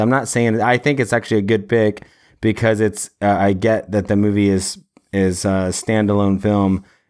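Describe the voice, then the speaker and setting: Recorded very cleanly against a silent background, a man with a fairly low pitch talks at a moderate pace in an unremarkable speaking voice with very even loudness. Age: 40s. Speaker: film podcast host. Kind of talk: casual chat.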